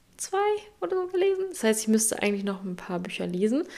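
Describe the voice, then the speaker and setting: Speaking at a fairly quick pace, a woman keeps a dark, mellow tone and monotone, flat intonation. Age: 20s. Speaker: podcast host. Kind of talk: motivational monologue. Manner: direct, emphatic.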